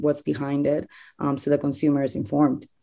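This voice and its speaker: A woman speaks at a moderate pace in a very deep, low voice with a dark, mellow tone. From Peru, Lima. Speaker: food company co-founder. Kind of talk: interview. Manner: frequent filler hesitations.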